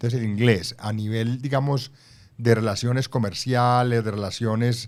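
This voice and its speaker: A plain, everyday voice from a man at medium pitch, fairly even in intonation, on a very clean recording with a silent background. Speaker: former ambassador and author. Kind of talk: interview.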